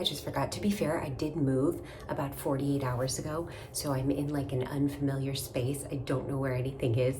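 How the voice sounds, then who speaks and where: A woman speaks in a very deep, low pitch with fairly even intonation. Noticeable background noise and audible room echo fill the recording. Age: 30s. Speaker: skincare content creator. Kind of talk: tutorial. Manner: whispering.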